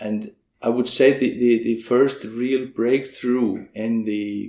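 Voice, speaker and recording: A man with an Icelandic accent speaks in a dark, mellow tone with fairly even intonation. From Iceland (Vík, south coast). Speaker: business owner and horseman. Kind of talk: interview. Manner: halting, many fillers.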